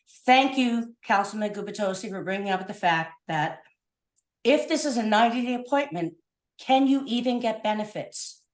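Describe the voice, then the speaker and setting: A woman speaks at a moderate pace with a fairly high voice. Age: 60s. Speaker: public commenter at council meeting. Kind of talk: public comment. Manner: animated.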